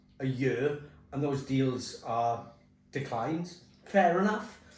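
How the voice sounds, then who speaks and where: Over music in the background, a man talks at a very slow pace with ordinary pitch variation and audible room echo. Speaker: compliance consultant. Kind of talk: casual chat during hot wings challenge.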